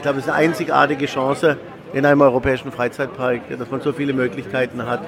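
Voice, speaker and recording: With crowd noise in the background, a man talks at a very fast pace in a fairly high pitch and fairly even intonation. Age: 40s. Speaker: theme park executive. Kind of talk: interview.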